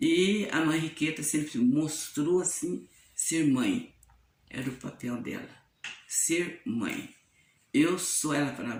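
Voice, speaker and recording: A woman with a very deep, low pitch speaks at a very slow pace with long, frequent pauses and very wide pitch swings, as audible room echo surrounds her. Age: 70s. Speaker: nun. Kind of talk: testimony.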